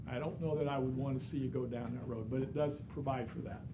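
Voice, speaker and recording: A somewhat breathy man at a fairly quick pace, with audible room echo. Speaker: real estate instructor. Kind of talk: lecture.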